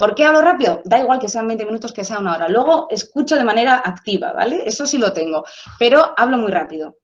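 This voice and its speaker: A woman talks very fast at a fairly high pitch, her voice swinging very widely up and down, with audible room echo. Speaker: sociologist. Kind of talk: lecture. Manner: animated.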